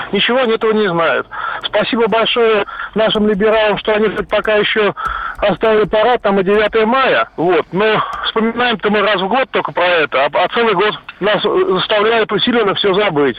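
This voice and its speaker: Against noticeable background noise, a high-pitched man speaks at a very even loudness. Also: ordinary pitch variation, moderate pace. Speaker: caller. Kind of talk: radio call-in opinion. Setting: phone call.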